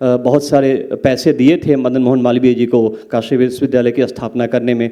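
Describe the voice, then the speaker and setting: Speaking with a Bihar accent, a man has a dark, mellow tone. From Mithila, Bihar. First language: Maithili (speaking Hindi). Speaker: English professor, panelist. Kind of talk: panel talk at literature festival. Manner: code-switching Hindi and English, hesitant fillers.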